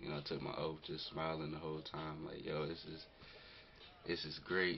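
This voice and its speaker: Delivered at a moderate pace with an American accent, the voice carries audible room echo over noticeable background noise. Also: man. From North Carolina. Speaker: vlogger, military enlistee. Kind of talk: casual vlog. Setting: self-recorded camera video. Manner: hesitant, many fillers.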